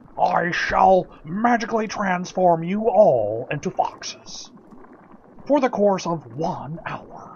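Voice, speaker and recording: A man's put-on character voice, high in pitch, with lively intonation and a fairly slow pace. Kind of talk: old-time radio acting. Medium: audio drama. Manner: grumbling, complaining.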